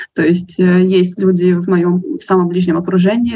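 The speaker uses a normal speaking voice. The pace is moderate. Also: woman. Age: 20s. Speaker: book blogger, nonprofit worker. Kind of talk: casual chat.

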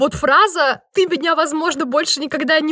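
Raising and projecting her voice, a woman speaks in a high pitch with a bright, sharp tone. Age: 20s. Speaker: podcast co-host. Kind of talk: casual chat.

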